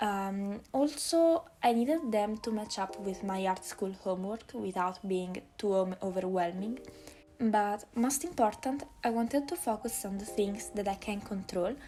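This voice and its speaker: Over noticeable background noise, a woman with an Italian accent speaks at a fairly slow pace, her medium pitch carried by lively intonation. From Italy, Naples. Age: young. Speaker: art student and artist youtuber. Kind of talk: voiceover over speedpaint video. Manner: hesitant, with many fillers.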